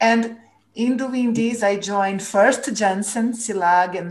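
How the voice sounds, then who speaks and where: In a Portuguese accent, a woman speaks at a very slow pace with ordinary pitch variation, and audible room echo surrounds her voice. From Brazil. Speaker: former corporate purpose executive. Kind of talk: interview.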